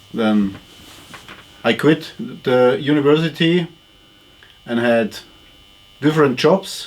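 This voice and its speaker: Speaking with a German accent, a man talks at a very slow pace and fairly high pitch, with ordinary pitch variation and long, frequent pauses. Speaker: retired culture journalist. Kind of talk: interview. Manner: halting.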